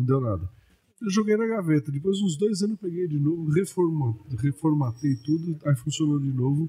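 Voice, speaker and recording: A man speaks with lively intonation at a moderate pace. His voice is somewhat breathy and fairly high-pitched. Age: 60s. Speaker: comedian. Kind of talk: interview. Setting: podcast. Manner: talkative.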